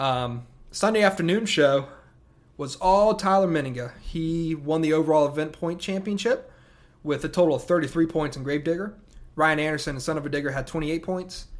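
This man speaks with a Southern US accent at a fairly high pitch. His pace is fairly quick. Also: ordinary pitch variation. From upstate South Carolina. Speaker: podcast host, monster truck fan. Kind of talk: solo podcast monologue. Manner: casual, many filler words.

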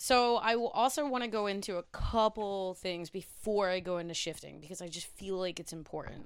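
A woman with an ordinary speaking voice, medium pitch, ordinary pitch variation, a fairly quick pace and hardly any pauses. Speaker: podcast host. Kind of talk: casual chat. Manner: joking, laid-back.

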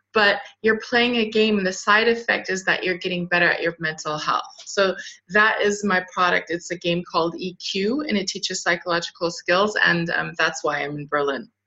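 This is a normal speaking voice with an American accent. It moves at a moderate pace with ordinary pitch variation. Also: woman, medium pitch for a woman. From Southern California, later Luxembourg, France and Germany. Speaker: clinical psychologist and startup founder. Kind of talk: interview.

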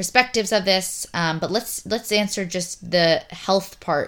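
A woman with a medium pitch speaks with fairly even intonation on a very clean recording against a silent background. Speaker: podcast host. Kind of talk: casual conversational interview. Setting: at home. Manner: loud, carrying voice.

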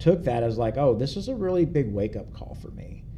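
With a Kentucky accent and a dark, mellow tone, a man speaks at a moderate pace and with lively intonation, with audible room echo. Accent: Kentucky Southern American. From US South, rural Kentucky. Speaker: worship team guitarist, church member. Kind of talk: personal testimony interview.

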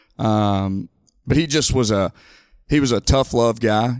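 A man with an Alabama accent is recorded very cleanly against a silent background, in a dry, close sound with no echo. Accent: Southern US (Alabama). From US South, Mobile, Alabama. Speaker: high school coach. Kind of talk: casual interview. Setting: studio.

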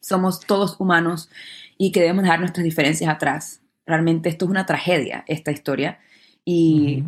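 Her intonation flat and monotone, a woman speaks at a moderate pace. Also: fairly low pitch for a woman. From Panama. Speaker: actress and dancer. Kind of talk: interview.

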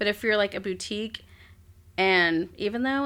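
A bright, sharp tone in an American accent at a moderate pace, with ordinary pitch variation and a very clean recording over a silent background. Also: woman. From South Texas, Corpus Christi. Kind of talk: casual interview chat.

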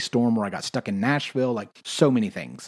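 A man talks at a fairly quick pace. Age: 30s. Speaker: podcast host, worship leader and health coach. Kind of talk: casual solo monologue. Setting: room in an Airbnb. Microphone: echoey room.

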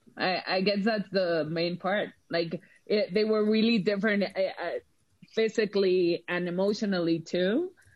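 At a moderate pace, a woman with a Mexican accent keeps very even loudness, a medium pitch and fairly even intonation. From Mexico. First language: Spanish. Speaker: film and TV producer. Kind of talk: casual chat.

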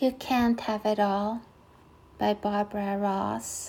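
At a very slow pace, the voice is somewhat breathy, with a dark, mellow tone and monotone, flat intonation. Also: woman. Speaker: podcast host. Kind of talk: poetry reading. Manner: warm, heartfelt, appreciative.

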